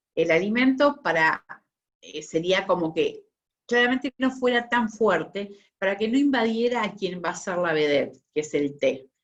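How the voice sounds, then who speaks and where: A woman speaks with a Rioplatense accent at a moderate pace. Her pitch is medium, with very wide swings. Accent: Argentine Rioplatense Spanish. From Buenos Aires, Argentina. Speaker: tea sommelier. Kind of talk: online talk / presentation.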